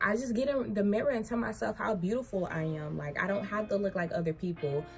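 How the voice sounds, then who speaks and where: A woman speaks at a very fast pace with lively intonation. Her loudness stays very even while music plays in the background. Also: medium pitch for a woman. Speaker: vlogger. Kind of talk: personal storytime vlog. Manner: halting, self-described stuttering.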